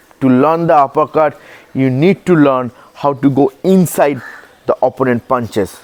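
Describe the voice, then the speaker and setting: A man with an Indian accent talks at a moderate pace, his pitch medium and its variation ordinary. Noticeable background noise runs behind him. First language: Hindi. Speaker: boxing coach. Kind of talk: tutorial.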